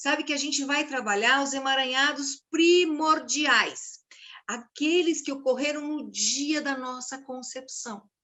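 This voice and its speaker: A woman talks at a fairly slow pace with a high pitch. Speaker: systemic constellation facilitator. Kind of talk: informal talk to camera. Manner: animated.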